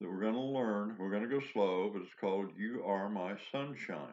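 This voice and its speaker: A man's croaky, fairly low pitch with ordinary pitch variation. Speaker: harmonica teacher. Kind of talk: tutorial.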